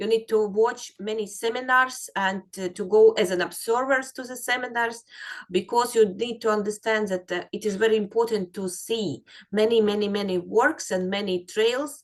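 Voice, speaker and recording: Fairly even intonation in a woman's fairly high-pitched voice, moving at a moderate pace. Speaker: dog trailing instructor. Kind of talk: webinar instruction. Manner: halting, many fillers.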